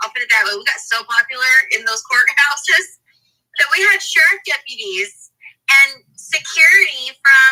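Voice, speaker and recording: Raising and projecting her voice, a woman talks at a fairly slow pace with a high pitch and lively intonation. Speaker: podcast host. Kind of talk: podcast interview.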